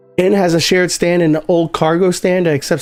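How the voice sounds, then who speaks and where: This is a man's voice. It sits high in pitch. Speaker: gaming streamer. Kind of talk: live game stream commentary. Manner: casual, filler-heavy.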